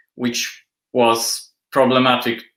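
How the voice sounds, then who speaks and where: In a Polish accent, a man speaks at a medium pitch with monotone, flat intonation. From Poland. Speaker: industrial designer and assistant professor. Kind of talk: interview.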